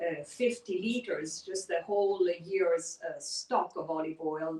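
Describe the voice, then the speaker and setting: At a fairly slow pace, a woman speaks in a medium pitch with a dark, mellow tone and ordinary pitch variation. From Italy, British schooling in Kenya and Rome. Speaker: olive oil producer. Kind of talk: interview conversation.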